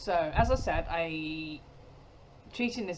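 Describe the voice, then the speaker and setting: A woman speaks at a fairly slow pace in a fairly low pitch, with noticeable background noise behind her. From United Kingdom. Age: 40s. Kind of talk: casual talk to camera.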